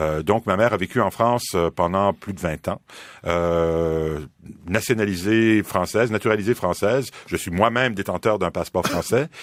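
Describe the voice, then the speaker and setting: A man speaks at a moderate pace in a fairly low voice with ordinary pitch variation. The recording is very clean, with a silent background and a dry, close sound with no echo. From Quebec, Montreal. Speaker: philosophy professor. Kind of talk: radio interview. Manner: halting, many fillers.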